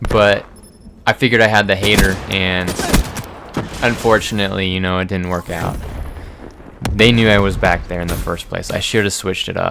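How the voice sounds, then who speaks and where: Quiet and fairly low-pitched, a man talks at a fairly quick pace broken by long, frequent pauses, with noticeable background noise. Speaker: gaming youtuber. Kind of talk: gameplay commentary. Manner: casual, halting with fillers.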